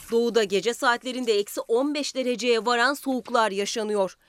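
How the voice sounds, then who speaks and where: A woman speaks at a high pitch and a fairly slow pace, with ordinary pitch variation. The sound is dry and close, with no echo. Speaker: weather reporter. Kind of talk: news reading.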